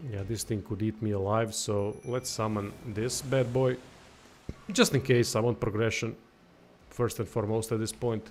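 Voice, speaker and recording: Music plays behind a man speaking at a moderate pace. His pitch is medium and his intonation fairly even. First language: not English. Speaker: gaming livestreamer. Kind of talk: live gameplay commentary. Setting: livestream. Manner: casual, reactive.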